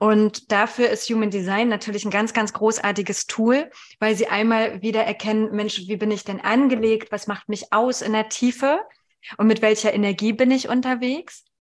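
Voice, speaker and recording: A woman with an ordinary speaking voice, fairly high in pitch, at a moderate pace with fairly even intonation. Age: 40s. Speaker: human design coach, mother of two. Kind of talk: casual interview.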